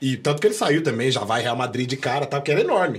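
This man talks at a fairly quick pace in a fairly high pitch, somewhat breathy, with lively intonation. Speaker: podcast host or guest. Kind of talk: casual chat. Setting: studio. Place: studio. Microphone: studio mic.

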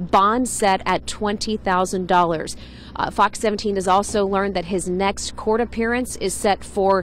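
A woman's monotone, flat voice at a very slow pace, dry with no echo, over light background noise. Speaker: TV field reporter. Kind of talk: live news report. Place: street. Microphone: handheld.

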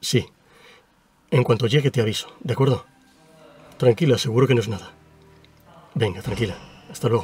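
A man talking at a fairly quick pace, the sound dry with no echo, faint music in the background. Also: ordinary pitch variation. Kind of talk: acted phone call. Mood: worried but calming. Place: car. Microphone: camera far.

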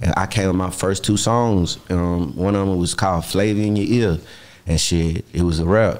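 Speaking in a Houston accent, a man with a very deep, low voice keeps a moderate pace, very even loudness and ordinary pitch variation. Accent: Southern US, Houston. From Texas. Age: 30s. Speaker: rapper. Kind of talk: casual chat. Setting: studio. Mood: relaxed, casual. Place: studio. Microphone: studio mic.

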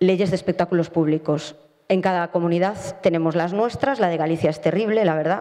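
The tone is dark and mellow, and the pace is fairly quick. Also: woman, fairly low pitch for a woman, ordinary pitch variation.

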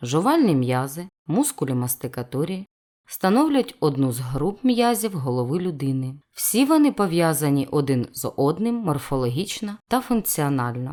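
A woman with a very deep, low pitch and a dark, mellow tone speaks at a fairly slow pace with very wide pitch swings. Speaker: anatomy educator. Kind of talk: educational intro narration.

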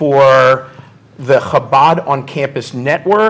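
At a moderate pace, a man talks in a fairly bright tone.

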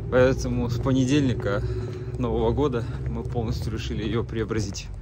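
With loud noise in the background, the man talks at a middling pace, and his voice sounds dry with no echo. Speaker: vlogger. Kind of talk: casual vlog chat. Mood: cheerful, relaxed. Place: street. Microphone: phone near.

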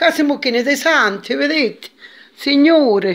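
A woman speaks at a slow pace. Her intonation is lively.

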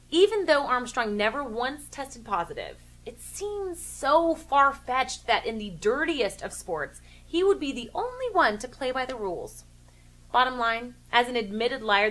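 Her pitch high and swinging very widely, a woman speaks at a moderate pace. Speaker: sports commentary show host. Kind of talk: commentary. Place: home room.

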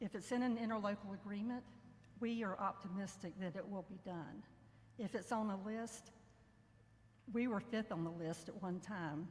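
A woman with an American accent speaks at a moderate pace with a medium pitch, ordinary pitch variation, a somewhat breathy quality and long, frequent pauses. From north central Florida. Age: 60s. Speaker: former state representative speaking at public comment. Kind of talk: public comment at government meeting. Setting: public meeting hall, speaking into a mic.

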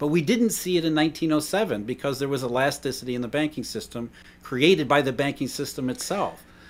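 At a fairly quick pace, a man speaks with lively intonation and a fairly high pitch. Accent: American. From US Rust Belt. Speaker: economist and podcast host; podcast host. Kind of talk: interview. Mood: earnest, explanatory. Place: home room. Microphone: webcam.

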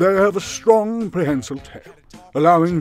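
A man speaks with music in the background. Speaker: voice-over artist. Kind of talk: documentary-style animal fact narration.

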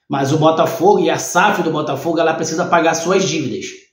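A man talks with ordinary pitch variation against a quiet background, and some room echo can be heard. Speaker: football channel host. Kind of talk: commentary. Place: home room.

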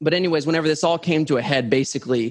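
A man with ordinary pitch variation. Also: quiet background. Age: 30s. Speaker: kava company founder and researcher; guest. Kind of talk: casual interview. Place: home room. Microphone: studio mic.

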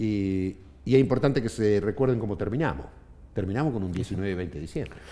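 In a Rioplatense accent, a man talks at a fairly quick pace and fairly low pitch, his dark, mellow tone carrying lively intonation. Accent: Argentine Spanish (rioplatense). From Argentina, Neuquén province. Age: 50s. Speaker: trade union leader; guest. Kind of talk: interview. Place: studio. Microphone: headset.

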